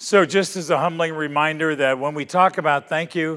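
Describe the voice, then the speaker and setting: With an American accent, a man speaks at a moderate pace in an ordinary speaking voice, fairly high in pitch, on a very clean recording with a silent background. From Florida. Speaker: physician assistant and coding consultant. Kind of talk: lecture. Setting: conference stage with audience.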